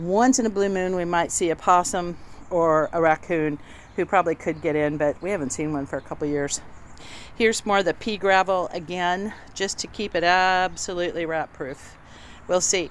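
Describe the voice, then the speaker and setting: A normal speaking voice from a woman, fairly low in pitch, at a moderate pace with ordinary pitch variation, on a very clean recording with a silent background. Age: 60s. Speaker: novice home DIYer. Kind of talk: casual tutorial walkthrough. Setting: outdoors in garden. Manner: casual, with fillers.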